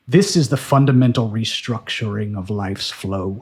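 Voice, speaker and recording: A man puts on a growling character voice at a medium pitch, keeping a moderate pace. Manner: snarling, menacing.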